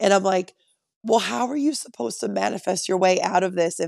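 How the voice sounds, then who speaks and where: A woman's medium-pitched voice with vocal fry and lively intonation at a fairly quick pace, dry and close with no echo, on a very clean recording with a silent background. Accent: American. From Connecticut. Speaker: guest, host's wife. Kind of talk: casual chat.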